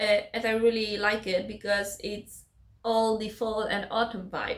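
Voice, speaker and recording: Using a non-native accent, a woman speaks at a fairly slow pace with a fairly high pitch. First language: not English. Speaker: book vlogger. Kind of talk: casual vlog talk. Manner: halting.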